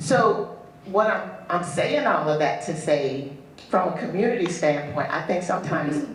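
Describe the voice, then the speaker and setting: Noticeable background noise and audible room echo fill the recording. The man speaks at a moderate pace with a fairly high pitch. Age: 60s. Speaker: audience member, nonprofit founder and doula. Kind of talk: audience comment in Q&A.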